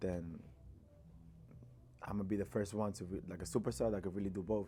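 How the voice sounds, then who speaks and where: Speaking with a Dominican accent, this man has a fairly low pitch and vocal fry. His pitch varies in an ordinary way. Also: fairly quick pace. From Dominican Republic. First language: Spanish. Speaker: rapper. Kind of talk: interview. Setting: studio. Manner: casual, many fillers.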